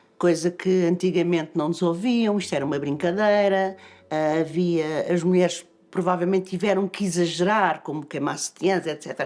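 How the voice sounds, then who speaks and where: Fairly low in pitch, a woman speaks in a normal speaking voice with fairly even intonation. The recording is very clean, with a silent background. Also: moderate pace. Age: 60s. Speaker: politician. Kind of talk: casual chat.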